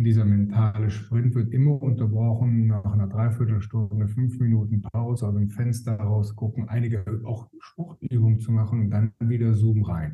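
Somewhat breathy and dark, mellow in tone, a man speaks at a medium pitch and moderate pace with fairly even intonation and hardly any pauses. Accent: slight Rhineland. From Rhineland, Germany. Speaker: time management expert. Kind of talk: podcast interview. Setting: remote call.

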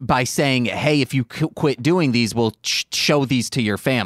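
In a normal speaking voice, a man talks at medium pitch and a fairly slow pace. The sound is dry and close with no echo, on a very clean recording with a silent background. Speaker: podcast host. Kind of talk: casual banter podcast chat. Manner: joking, playful.

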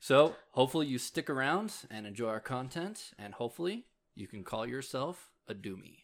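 This man has a normal speaking voice with lively intonation. He talks at a moderate pace in a very clean recording with a silent background. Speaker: D&D podcast host and dungeon master. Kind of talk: podcast intro and announcements.

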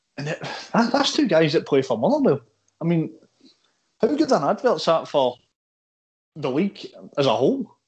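Speaking at a moderate pace with a Scottish accent, a man with a high pitch makes very wide pitch swings and takes long, frequent pauses. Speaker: football podcast host. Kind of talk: casual chat. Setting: call.

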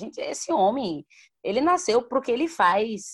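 This woman speaks at a fairly slow pace, her pitch swinging very widely. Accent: Bahian. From Salvador, Bahia, Brazil. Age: 20s. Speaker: singer. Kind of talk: casual chat.

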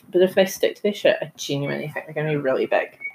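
A woman speaks with a New Zealand accent. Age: 20s. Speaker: podcast host. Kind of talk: casual chat.

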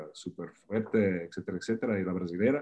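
With an Italian accent, a man speaks at a fairly low pitch. His intonation stays fairly even. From Italy (Faenza, near Bologna). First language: Italian (speaking Spanish). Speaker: swimming coach. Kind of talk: interview.

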